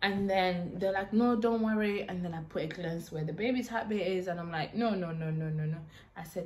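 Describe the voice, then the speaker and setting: A somewhat breathy woman at a fairly quick pace amid audible room echo. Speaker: YouTuber. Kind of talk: storytime vlog.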